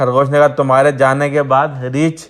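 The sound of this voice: Someone reads in an unforced reading voice. Nothing about the delivery is pushed.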